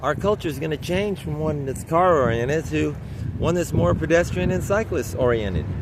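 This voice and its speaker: Over noticeable background noise and audible room echo, a man talks at a fairly quick pace in a fairly high pitch. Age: 60s. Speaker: cyclist vlogger. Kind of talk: casual vlog monologue. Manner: halting, repetitive.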